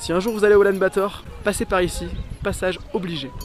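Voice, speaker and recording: Music plays in the background as the voice moves at a moderate pace. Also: man. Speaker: travel vlogger. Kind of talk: travel vlog. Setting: in a taxi.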